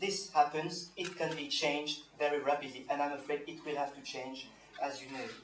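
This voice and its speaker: With a French accent and a fairly high pitch, a man talks at a moderate pace amid noticeable background noise and audible room echo. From France (Normandy). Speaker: activist panelist. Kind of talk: panel speech. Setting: panel with audience. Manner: halting.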